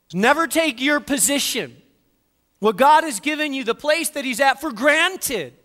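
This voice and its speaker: At an extremely high pitch, a man projects a raised voice with a bright, sharp tone, ordinary pitch variation and a moderate pace on a very clean recording with a silent background. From northern Spain. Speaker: pastor. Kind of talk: sermon.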